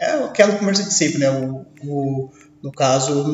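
A man speaks over noticeable background noise. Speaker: podcast host, exam prep teacher. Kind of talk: casual interview.

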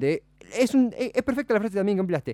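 The man's dark, mellow tone comes through a dry, close sound with no echo. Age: 20s. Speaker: radio host. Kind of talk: casual radio talk show.

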